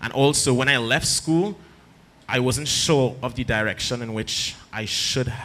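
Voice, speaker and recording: A man's bright, sharp voice at medium pitch with a Trinidadian accent and ordinary pitch variation. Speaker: arts mentor. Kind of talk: panel talk to audience.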